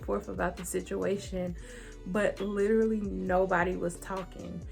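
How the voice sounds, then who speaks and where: A woman with an American accent speaks at a fairly slow pace over music in the background. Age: 20s. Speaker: YouTuber. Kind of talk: storytelling. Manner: casual.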